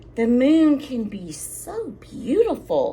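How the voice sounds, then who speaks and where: A woman in a put-on character voice talks very slowly at a high pitch, her pitch swinging very widely over clear background noise. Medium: read story.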